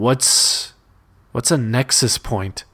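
Putting on a raspy character voice at medium pitch, a man speaks in a dry, close sound with no echo. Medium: read story. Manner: slow, confused.

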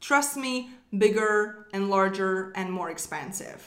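A woman speaks with a non-native accent at a fairly slow pace. Her pitch sits in the middle range for a woman. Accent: foreign-accented English. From outside the US, immigrant. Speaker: business coach and podcast host. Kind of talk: solo motivational talk. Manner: upbeat, animated, encouraging.

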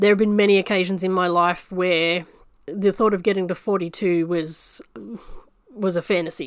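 In an Australian accent, a woman talks at a fairly quick pace with a medium pitch and monotone, flat intonation. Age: 40s. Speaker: podcast host. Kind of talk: casual monologue. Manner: halting.

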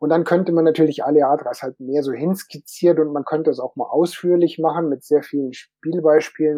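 A man with an unremarkable speaking voice talks at a moderate pace, fairly high in pitch and with ordinary pitch variation. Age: 50s. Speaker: tabletop game designer. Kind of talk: panel discussion.

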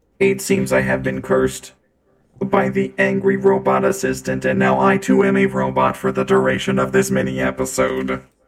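Using a put-on character voice, a man speaks at a moderate pace with a very deep, low pitch and a flat monotone. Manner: cursed, mock-dramatic.

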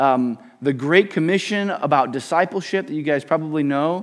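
A man speaks in a high pitch with lively intonation. His pace is moderate. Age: 30s. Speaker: visiting pastor. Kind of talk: sermon. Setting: church pulpit.

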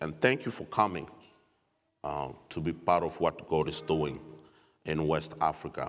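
A man's fairly slow, lively-intoned speech with vocal fry, in a very clean recording over a silent background. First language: French. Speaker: missionary speaker from Africa.

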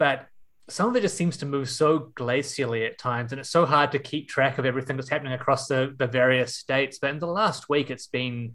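In a New Zealand accent, a man speaks with fairly even intonation. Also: fairly high pitch for a man, fairly quick pace. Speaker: podcast host. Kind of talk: casual chat.

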